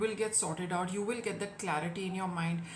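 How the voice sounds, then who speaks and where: A woman talks fairly quickly, with audible room echo around her words. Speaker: tarot reader. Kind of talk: tarot reading.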